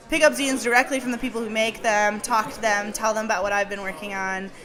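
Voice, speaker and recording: Over music in the background and with audible room echo, a woman with a fairly high pitch speaks at a fairly quick pace with ordinary pitch variation. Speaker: podcast host. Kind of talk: live talk to audience. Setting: stage with small audience. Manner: stuttering; casual, lots of fillers.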